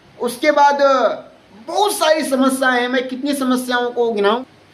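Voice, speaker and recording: A man's fairly even intonation amid noticeable background noise and audible room echo. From India, Bihar (Kishanganj district). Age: 20s. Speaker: vlogger. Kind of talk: political appeal to voters. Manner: earnest, with hesitations.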